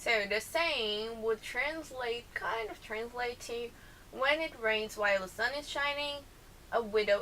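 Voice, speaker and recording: A woman with a Brazilian accent at a fairly slow pace, fairly high in pitch with ordinary pitch variation, amid noticeable background noise and audible room echo. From southern Brazil, Porto Alegre. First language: Portuguese. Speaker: vlogger. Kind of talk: casual vlog, accent challenge.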